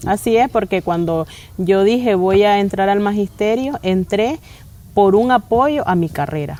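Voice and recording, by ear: With a dark, mellow tone, a woman speaks at a fairly slow pace using lively intonation. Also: medium pitch for a woman.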